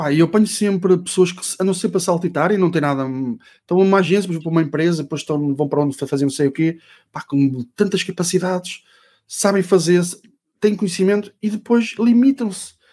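Talking at a fairly quick pace, a man with a high voice and a dark, mellow tone uses ordinary pitch variation. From Portugal, Ovar; Portugal. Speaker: SEO consultant and trainer; podcast guest. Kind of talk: casual interview chat.

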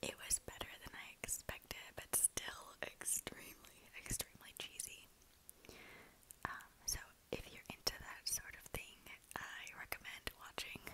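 A woman whispers at a fairly slow pace in a relaxed tone. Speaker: ASMR creator who works in human resources. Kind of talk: ASMR whisper ramble. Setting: lo-fi home recording. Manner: whispered, relaxed, rambling. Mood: relaxed, smiling. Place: home room. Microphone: earbuds.

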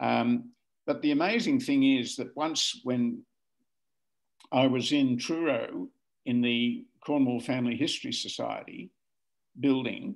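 Against a quiet background, a man with an Australian accent speaks fairly slowly, leaving long, frequent pauses. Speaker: family historian. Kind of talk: casual chat. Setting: video call. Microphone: video call.

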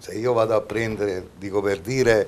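A man speaks at a fairly low pitch. His pace is moderate and his intonation fairly even. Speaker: football club director. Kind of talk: TV interview. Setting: TV studio. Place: studio.

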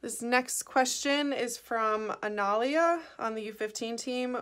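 A woman's fairly high voice with ordinary pitch variation and a quiet background. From Chicago, US Midwest. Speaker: professional soccer player. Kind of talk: recorded Q&A answering questions. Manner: casual, many filler ums. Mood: friendly, upbeat. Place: home room. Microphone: phone near.

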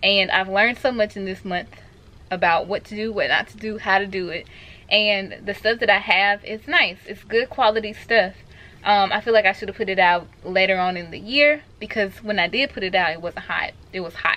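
Her pitch varies in an ordinary way as the woman talks at a moderate pace. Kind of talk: casual vlog chat. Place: home room. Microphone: camera far.

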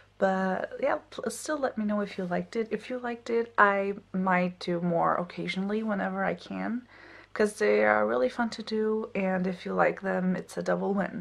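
Soft-spoken, a woman talks at a moderate pace. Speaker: PhD student vlogger. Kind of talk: casual vlog. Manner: quiet, soft-spoken. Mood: relaxed, friendly. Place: home room. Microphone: phone near.

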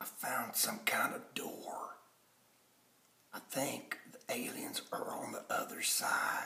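Whispering, a man speaks at a very slow pace. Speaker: vlogger acting out a story. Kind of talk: hushed playful roleplay vlog. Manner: hushed, tense low voice. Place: home room. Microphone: phone near.

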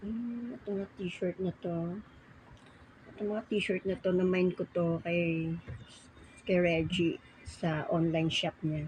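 Somewhat breathy and fairly low in pitch, a woman speaks at a very slow pace with fairly even intonation and long, frequent pauses. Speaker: vlogger. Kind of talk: casual vlog chat. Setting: at home folding laundry.

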